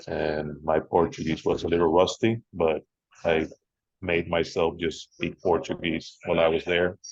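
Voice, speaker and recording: A man with a very deep, low voice speaks at a moderate pace. His intonation is fairly even, broken by long, frequent pauses. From Venezuela. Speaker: beer writer. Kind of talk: panel discussion.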